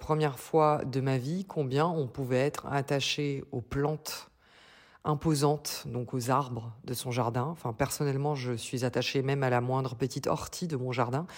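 This woman has a very deep, low pitch and ordinary pitch variation, speaking at a fairly slow pace. The recording is very clean, with a silent background. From Slovenia. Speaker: music industry worker, podcaster. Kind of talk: recorded voice message anecdote. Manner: spontaneous; halting, repeats words.

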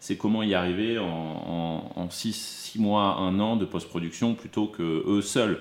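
Speaking at a very slow pace, a man keeps a fairly low pitch and fairly even intonation. He takes hardly any pauses. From Burgundy, France (Dijon). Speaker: film producer. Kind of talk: interview conversation. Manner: halting, many repetitions and hesitations.

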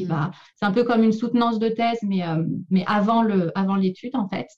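A woman's somewhat breathy voice with fairly even intonation. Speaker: speech therapist and doctoral researcher. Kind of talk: interview. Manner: halting with many repetitions.

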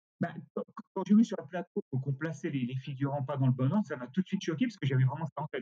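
A man's fairly high, somewhat breathy voice with a dark, mellow tone, a very fast pace and ordinary pitch variation, dry and close with no echo. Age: 60s. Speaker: costume rental company director. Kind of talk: interview. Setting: remote recording.

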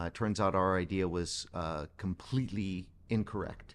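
A man with a normal speaking voice talks at a fairly slow pace and fairly low pitch, with ordinary pitch variation, on a very clean recording with a silent background. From Pittsburgh area, US. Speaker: doctor running a hydration and IV clinic. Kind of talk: casual interview.

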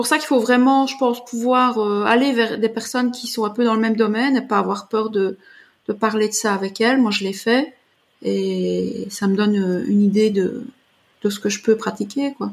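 Somewhat breathy and fairly high, a woman's voice moves at a moderate pace with fairly even intonation. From Belgium. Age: 40s. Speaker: artist and artist coach. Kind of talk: interview.

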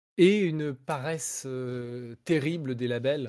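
A man at medium pitch with a dark, mellow tone and ordinary pitch variation is heard on a very clean recording with a silent background. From France. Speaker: rock singer and video game composer. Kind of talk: casual interview.

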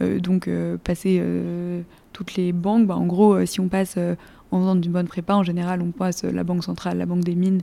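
At a fairly quick pace, a woman with a dark, mellow tone and a fairly low pitch speaks in a monotone, flat intonation. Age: 20s. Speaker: engineering graduate. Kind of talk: interview.

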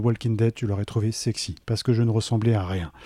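Recorded very cleanly with a silent background and a dry, close sound with no echo, a man talks at a fairly quick pace in a dark, mellow tone with fairly even intonation. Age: 30s. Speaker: entrepreneur. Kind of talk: interview. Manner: hesitant, many fillers.

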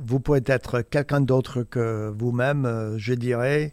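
In a very clean recording with a silent background, a man speaks very slowly at a medium pitch with fairly even intonation. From US Midwest, Indiana. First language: English (speaking French). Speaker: photojournalist. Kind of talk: interview. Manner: halting, many repetitions and hesitations.

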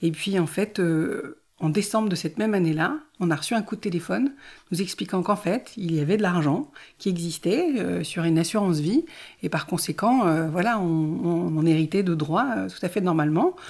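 A woman at a fairly low pitch with ordinary pitch variation and a moderate pace, on a very clean recording with a silent background. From Ardennes, France. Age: 40s. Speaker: genealogy trainee. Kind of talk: personal testimony interview. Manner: hesitant, many fillers.

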